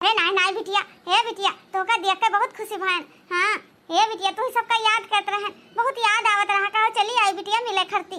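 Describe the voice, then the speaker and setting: In a cartoonish character voice, a woman talks at a fairly quick pace with an extremely high pitch and monotone, flat intonation. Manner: wailing, heavy sighs.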